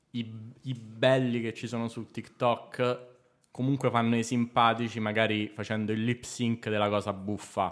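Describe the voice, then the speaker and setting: Over a quiet background, a man speaks fairly slowly with monotone, flat intonation. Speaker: comedy writer; podcast guest. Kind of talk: casual chat. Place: studio. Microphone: studio mic.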